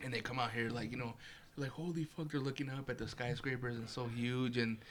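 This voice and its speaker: The speaker talks at a fairly quick pace with a Chicago accent. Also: man. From Chicago area, US Midwest. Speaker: podcast host. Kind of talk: casual chat.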